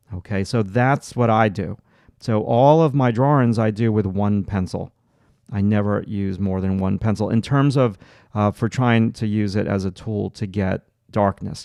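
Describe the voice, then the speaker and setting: Over a quiet background, a man with a Long Island accent speaks at a moderate pace in a dark, mellow, fairly low voice with ordinary pitch variation. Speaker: art teacher. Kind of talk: live stream tutorial. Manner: halting, many filler words.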